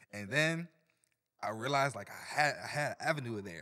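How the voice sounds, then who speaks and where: With a bright, sharp tone and ordinary pitch variation, a man speaks in an American accent. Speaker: team member helping produce the podcast. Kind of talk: casual chat.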